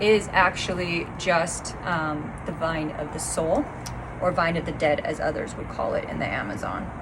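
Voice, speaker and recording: Noticeable background noise accompanies a woman speaking at a fairly low pitch and moderate pace, with ordinary pitch variation. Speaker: spiritual teacher, plant medicine facilitator. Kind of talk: online class talk.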